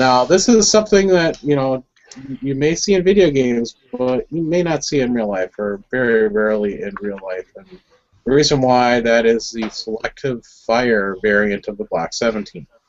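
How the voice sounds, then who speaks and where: A man at a medium pitch with lively intonation and a moderate pace. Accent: Wisconsin. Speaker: firearms enthusiast host. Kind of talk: casual group video chat.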